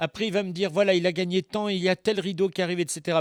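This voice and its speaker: A man speaks with a high pitch. The sound is dry and close with no echo, on a very clean recording with a silent background. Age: 60s. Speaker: voice actor. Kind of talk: interview. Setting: studio. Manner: halting.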